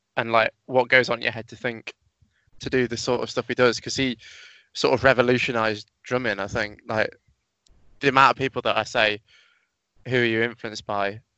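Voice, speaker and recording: Long, frequent pauses break up a man's fairly quick speech, delivered at a medium pitch with a British accent and monotone, flat intonation. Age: 20s. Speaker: drummer. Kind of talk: casual interview chat.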